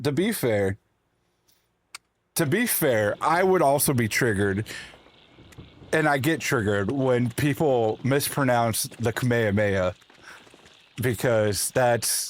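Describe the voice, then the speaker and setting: A man with an American accent speaks very slowly, with long, frequent pauses. His loudness stays very even and his pitch varies in an ordinary way. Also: medium pitch for a man. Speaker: video game streamer. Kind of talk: casual livestream chat with chat readers. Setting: live stream. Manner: stammering, repeats words.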